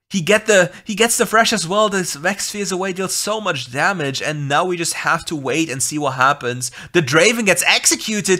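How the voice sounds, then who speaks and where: A man with a German accent speaks in a raised, projected voice. His pitch is high. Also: very clean recording, silent background. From Germany. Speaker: game commentator. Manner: fast talker, excitable.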